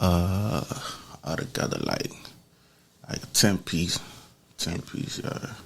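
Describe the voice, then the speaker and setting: A man with an American accent, speaking very slowly with long, frequent pauses, over noticeable background noise. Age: 40s. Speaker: former prisoner. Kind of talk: interview. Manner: casual, slangy.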